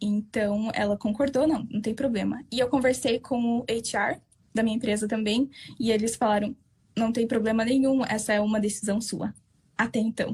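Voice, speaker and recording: A woman speaks at a moderate pace in a somewhat breathy voice. Her loudness stays very even. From southern Brazil. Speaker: Brazilian expat worker interviewed. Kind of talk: interview. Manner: halting.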